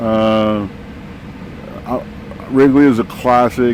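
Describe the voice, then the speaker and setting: A man with an American accent and medium pitch speaks at a fairly slow pace over noticeable background noise. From Texas. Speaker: van traveler, widower. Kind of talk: casual interview. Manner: halting, many fillers.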